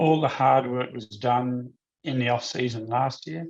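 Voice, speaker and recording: Speaking in an Australian accent, a man has a medium-pitched voice. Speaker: motorsport series executive. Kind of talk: interview.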